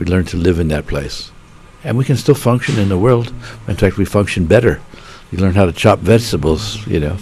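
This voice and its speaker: Noticeable background noise sits behind a man with an American accent. He talks at a fairly quick pace with lively intonation. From Pittsburgh, Pennsylvania, US. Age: 70s. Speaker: meditation teacher. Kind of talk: interview.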